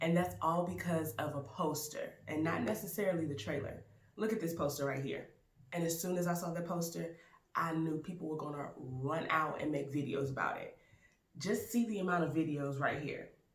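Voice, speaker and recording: In a room with audible echo, a woman speaks in an animated tone at a very deep, low pitch. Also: ordinary pitch variation, moderate pace. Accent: American. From US South, Baton Rouge, Louisiana. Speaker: YouTube actor and film reviewer. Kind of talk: casual film review vlog.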